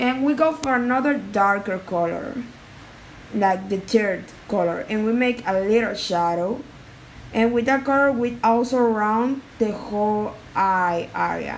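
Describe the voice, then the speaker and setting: A woman's fairly high voice at a fairly slow pace, ordinary pitch variation and audible room echo. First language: not English. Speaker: art tutorial creator. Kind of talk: tutorial. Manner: halting.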